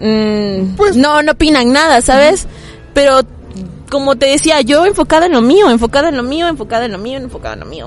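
Lively intonation from a high-pitched woman at a moderate pace, over noticeable background noise. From Mexico, Tuxtla Gutiérrez, Chiapas. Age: 20s. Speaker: content creator and cosmetology student. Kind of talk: casual chat.

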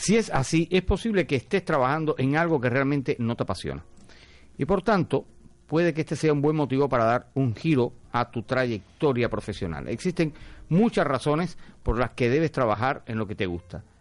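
Lively intonation and vocal fry from a man at a fairly high pitch, moderate pace, over a quiet background. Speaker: radio host. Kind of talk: casual radio talk show. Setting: radio studio.

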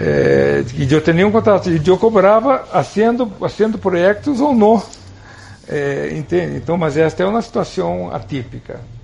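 A man's voice at a moderate pace amid noticeable background noise. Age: 50s. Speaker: TV drama director. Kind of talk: interview.

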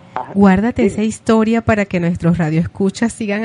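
Noticeable background noise sits under a woman's medium-pitched voice, recorded with a dry, close sound and no echo. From Venezuela. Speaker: radio host. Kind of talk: radio show.

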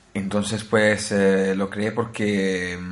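A man speaks in a flat monotone at a fairly low pitch, with audible room echo. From Italy (Naples). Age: 20s. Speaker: tech podcast host. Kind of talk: casual chat.

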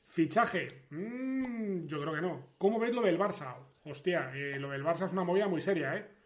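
A man's high-pitched voice at a moderate pace, with lively intonation and audible room echo. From Spain, León. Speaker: sports streamer. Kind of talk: casual livestream chat. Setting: livestream.

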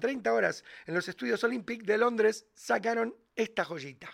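Against a silent background in a very clean recording, a man talks at a moderate pace with a high pitch and ordinary pitch variation. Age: 40s. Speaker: podcast host, music commentator. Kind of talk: casual chat.

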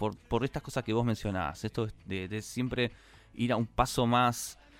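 A man in a Rioplatense accent, medium-pitched, at a fairly slow pace. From Argentina. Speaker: podcast host. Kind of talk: casual chat.

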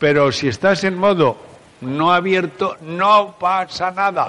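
Over noticeable background noise, a man with a high voice speaks at a very slow pace. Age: 70s. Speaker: psychologist and conference speaker. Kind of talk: talk to a live audience. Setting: stage with audience. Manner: animated.

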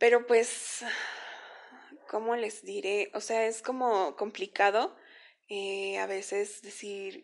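Her pace is very slow. The woman leaves long, frequent pauses. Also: quiet background. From Mexico, Veracruz. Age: 20s. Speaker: podcaster. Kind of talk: personal testimony monologue. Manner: hesitant, many fillers.

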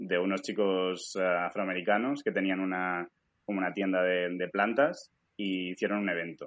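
A man speaks in a very deep, low voice. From Spain, Alicante. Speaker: stock photographer and schoolteacher. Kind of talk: casual interview.

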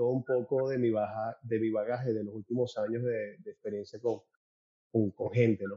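A man's ordinary speaking voice at medium pitch, fairly quick in pace with fairly even intonation. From Venezuela (Caracas). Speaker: events producer and networker. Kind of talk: interview conversation.

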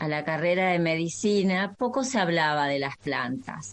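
A woman has an unremarkable speaking voice with a fairly low pitch. She talks at a fairly slow pace with lively intonation. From Argentina, Entre Ríos. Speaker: naturopathic doctor. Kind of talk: interview. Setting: video call.

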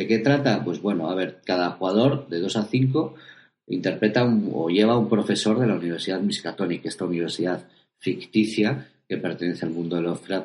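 Lively intonation carries words delivered at a fairly quick pace. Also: man. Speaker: tabletop roleplaying podcast host. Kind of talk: casual chat. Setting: video recording.

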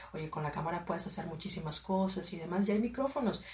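A woman with a medium pitch and lively intonation talks at a fairly quick pace, with audible room echo and noticeable background noise. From Matamoros, Mexico. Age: 30s. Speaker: radio presenter. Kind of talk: casual chat.

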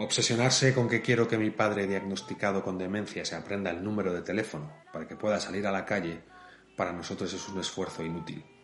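Very fast speech with ordinary pitch variation against noticeable background noise. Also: man, fairly low pitch for a man. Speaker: podcast host for an elderly care company. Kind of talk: scripted narration.

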